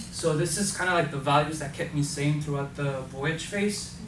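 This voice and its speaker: A man talks at a moderate pace in a fairly high pitch. Echo from the room can be heard. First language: not English. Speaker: volunteer program participant. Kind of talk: presentation. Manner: halting, many fillers.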